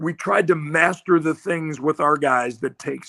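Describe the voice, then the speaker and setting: Bright and sharp in tone, a speaker with an American accent talks at a fairly slow pace with ordinary pitch variation in a dry, close sound with no echo. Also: man. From Iowa (Iowa City). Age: 70s. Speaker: retired football coach. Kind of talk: podcast interview. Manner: animated.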